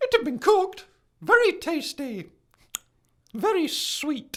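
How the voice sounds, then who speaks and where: Putting on a squeaky character voice, a man speaks at an extremely high pitch and a fairly slow pace. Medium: audio drama. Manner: prim, pedantic, flustered.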